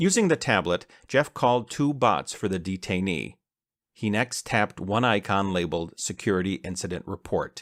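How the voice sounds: This is a natural reading voice with lively intonation. The background stays quiet.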